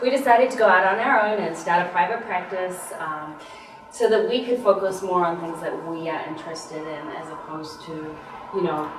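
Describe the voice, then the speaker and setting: Noticeable background noise and audible room echo fill this clip of a woman at medium pitch. She talks at a fairly quick pace with ordinary pitch variation and big swings in loudness. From New Zealand. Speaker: physical therapist. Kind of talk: TV interview.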